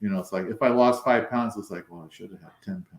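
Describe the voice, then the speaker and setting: An ordinary speaking voice with lively intonation. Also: man. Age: 60s. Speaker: weight-loss interviewee. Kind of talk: interview.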